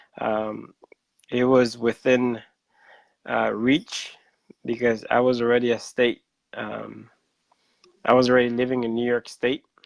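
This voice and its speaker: Speaking in a Central American accent, a man at medium pitch talks at a fairly slow pace, with long, frequent pauses and monotone, flat intonation. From Honduras, northern coast (Garifuna village). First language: Garifuna. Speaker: public health scientist. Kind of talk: interview. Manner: hesitant, many fillers.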